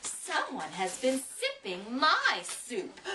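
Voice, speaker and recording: This female-sounding voice is a put-on character voice pitched high. It moves at a very slow pace. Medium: read story. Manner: huffy, growling.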